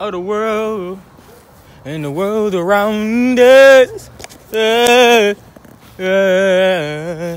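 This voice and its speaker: Here a man speaks at a very slow pace. His pitch is high, with ordinary variation. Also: dry sound with no echo. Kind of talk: casual vlog chat. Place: street. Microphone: phone near.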